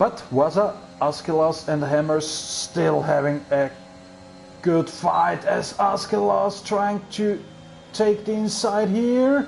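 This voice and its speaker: Over noticeable background noise, a man with a German accent speaks very slowly in a high pitch, with lively intonation and very even loudness. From Austria. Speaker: sim racing commentator. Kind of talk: live commentary.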